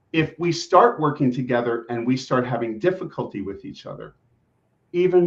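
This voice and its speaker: A man in a normal speaking voice talks at a medium pitch and moderate pace with lively intonation. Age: 60s. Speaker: executive coach and family therapist. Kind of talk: interview podcast.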